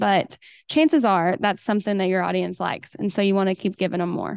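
Fairly quick and with ordinary pitch variation, a woman speaks in a slight Oklahoma accent over a quiet background. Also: dry, close sound with no echo. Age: 30s. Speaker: hairstylist and educator. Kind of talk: casual interview chat.

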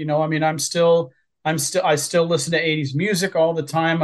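Against a quiet background, a man with an American accent talks at a moderate pace in a fairly high pitch. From Southwest Ohio, near Cincinnati. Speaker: author. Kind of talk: interview.

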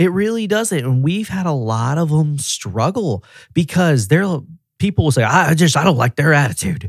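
This man speaks at a moderate pace with a Tennessee accent, his voice fairly high and somewhat breathy. His tone is animated, and his pitch swings very widely. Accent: Southern US (Tennessee). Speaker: auto repair regional director. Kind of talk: casual chat.

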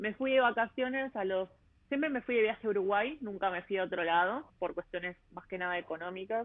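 Speaking with a Rioplatense accent, a woman moves at a fairly quick pace. Her pitch is medium, with ordinary variation. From Buenos Aires, Argentina. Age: 30s. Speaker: travel podcaster. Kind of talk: interview conversation. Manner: hesitant, many fillers.

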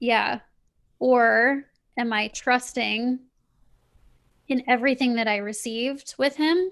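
On a very clean recording with a silent background, a woman with an American accent speaks very slowly in a fairly high, flat monotone. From US Midwest (Kansas City). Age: 30s. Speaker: spiritual coach and author. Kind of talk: casual interview.

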